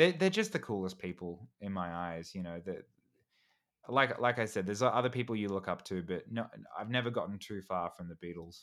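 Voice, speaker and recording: On a very clean recording with a silent background, a man with an Australian accent and fairly low pitch speaks at a fairly quick pace, with ordinary pitch variation and big swings in loudness. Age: 30s. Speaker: YouTuber and actor. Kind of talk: casual chat. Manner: halting, frequent repetitions.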